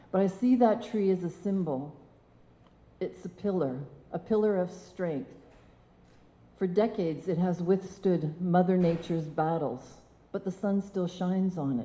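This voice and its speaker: At a moderate pace and medium pitch, a woman speaks in a dark, mellow, somewhat breathy tone with ordinary pitch variation and long, frequent pauses. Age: 60s. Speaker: motivational speaker. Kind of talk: personal story talk on stage.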